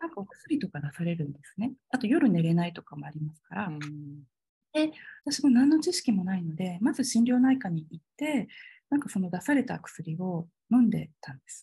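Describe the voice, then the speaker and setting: A woman's somewhat breathy voice has a dark, mellow tone at a medium pitch, moving at a fairly quick pace. Her pitch swings very widely, and her loudness swings a lot too. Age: 40s. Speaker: holistic aesthetician and salon owner. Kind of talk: interview conversation.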